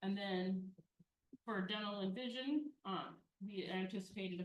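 At a moderate pace, a woman speaks at a medium pitch in a somewhat breathy voice. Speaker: city finance official presenting budget. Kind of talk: budget presentation at council meeting.

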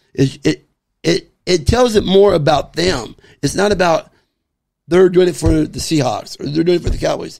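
Someone with an American accent talks at a moderate pace, with long, frequent pauses. The background is quiet. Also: man. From Southern California, Baldwin Park; California. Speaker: sports superfan; podcast guest. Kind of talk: casual chat. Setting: man cave. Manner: outspoken. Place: home room. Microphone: studio mic.

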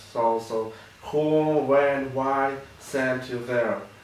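Audible room echo surrounds the voice. The speaker is a man. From Ukraine, Kharkiv; Ukraine. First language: Russian or Ukrainian. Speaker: war journalist. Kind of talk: interview testimony. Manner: halting, many fillers. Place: office.

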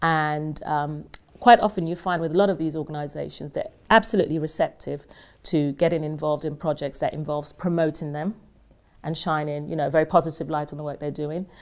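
A woman speaks at a very fast pace. Her pitch is very deep and low, with fairly even intonation. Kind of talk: interview answer. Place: studio.

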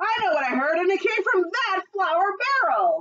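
Using a put-on character voice, a woman speaks at a moderate pace in an extremely high pitch with a fairly bright tone and big pitch swings.

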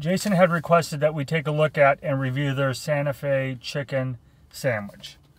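Here a man speaks at a fairly high pitch and a moderate pace, with ordinary pitch variation. His voice is somewhat breathy, and the sound is dry with no echo. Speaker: food reviewer. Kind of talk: casual chat. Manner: animated. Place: car. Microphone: phone near.

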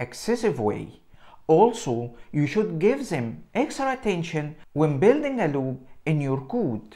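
A man talks with very wide pitch swings. The background is quiet. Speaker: presenter. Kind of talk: tutorial. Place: home room. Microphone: lapel.

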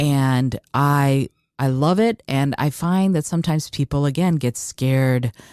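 On a very clean recording with a silent background, the speaker sounds enthusiastic at a fairly slow pace. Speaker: podcast host. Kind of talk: interview conversation.

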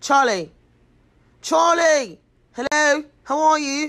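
This is a put-on character voice with a high pitch. It comes with an English accent.

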